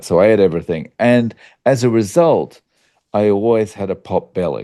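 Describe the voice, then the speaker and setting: Dark and mellow in tone, a man's voice comes through in an Australian accent. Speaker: YouTuber on carnivore diet. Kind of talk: interview conversation. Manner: casual with many fillers.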